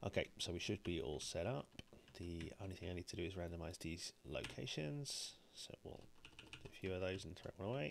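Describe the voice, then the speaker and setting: A man speaks quietly at a fairly quick pace in a very deep, low pitch. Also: ordinary pitch variation. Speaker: board game streamer. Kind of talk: gameplay commentary. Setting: live stream.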